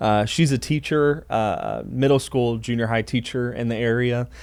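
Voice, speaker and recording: A man with an American accent talks at a medium pitch and a moderate pace in a plain, everyday voice. The recording is very clean, with a silent background. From Texas, Dallas. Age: 20s. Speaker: podcast co-host, church staff pastor. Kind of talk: casual chat.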